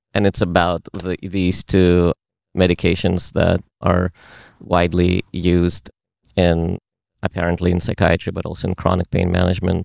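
With a Russian accent, a man speaks at a moderate pace in a very deep, low pitch and monotone, flat intonation, the sound dry and close with no echo in a very clean recording with a silent background. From Uzbekistan. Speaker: meetup participant. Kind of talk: casual chat.

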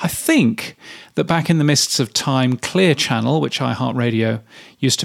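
A man's plain, everyday voice, at a moderate pace with lively intonation. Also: dry, close sound with no echo. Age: 50s. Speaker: radio industry newsletter writer and podcaster. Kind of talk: solo commentary reading own newsletter. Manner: casual with filler words.

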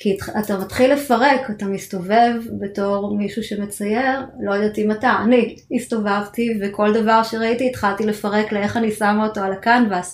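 A woman with a fairly high pitch talks at a fairly slow pace in monotone, flat intonation. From Israel. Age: 40s. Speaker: cancer patient. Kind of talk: interview testimony. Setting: studio.

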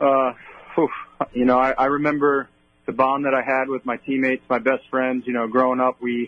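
Flat, monotone intonation in a Long Island accent. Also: man, medium pitch for a man, moderate pace. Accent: Long Island New York. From Long Island, New York. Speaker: baseball bullpen catcher. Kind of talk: radio interview.

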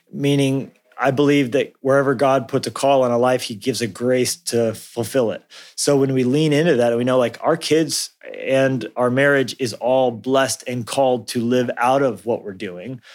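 A man talks at a moderate pace with a General American accent and medium pitch. He has an ordinary speaking voice and fairly even intonation. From US Southwest (Colorado, New Mexico). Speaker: pastor and author. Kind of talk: interview.

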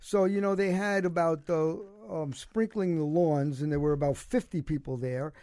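A man speaks in a Brooklyn accent at a fairly quick pace. His high voice carries a dark, mellow tone. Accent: New York (Brooklyn). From Brooklyn, New York. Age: 70s. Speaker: cancer survivor and former basketball coach. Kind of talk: casual interview chat. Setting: studio.

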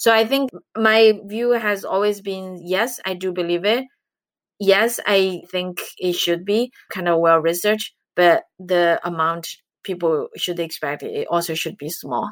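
A woman talks with a Chinese accent. Her pace is fairly slow. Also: medium pitch for a woman, ordinary pitch variation. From China. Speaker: investment director, economist. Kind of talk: interview, conversational.

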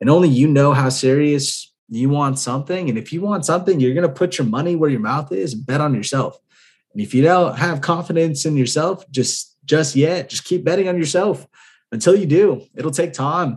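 A man at a moderate pace, fairly high in pitch, somewhat breathy, with ordinary pitch variation. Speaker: podcast host and real estate investor. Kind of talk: solo podcast monologue. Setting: home apartment at night. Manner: subdued, keeping quiet.

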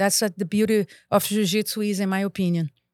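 In a Brazilian accent, the speaker goes at a fairly quick pace with ordinary pitch variation. The sound is dry and close, with no echo. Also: woman, very clean recording, silent background. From Brazil, Rio de Janeiro. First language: Portuguese. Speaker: martial arts instructor and school owner. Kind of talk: casual interview chat.

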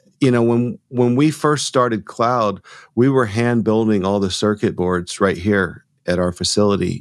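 A man with an American accent and an ordinary speaking voice talks at a fairly slow pace with a fairly low pitch, ordinary pitch variation and very even loudness, in a very clean recording with a silent background. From US South, Georgia (near Rome). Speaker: audio company founder. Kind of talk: interview.

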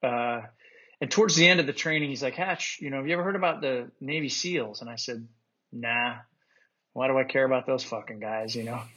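With an ordinary speaking voice, a man talks at a fairly quick pace, his medium pitch showing ordinary pitch variation. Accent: American. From Utah. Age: 50s. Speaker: war veteran. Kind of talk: casual chat.

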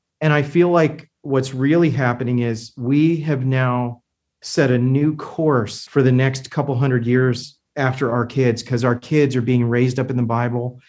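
A man with a plain, everyday voice of medium pitch speaks fairly slowly, with fairly even intonation and hardly any pauses. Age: 50s. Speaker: medical device company owner. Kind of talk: casual interview.

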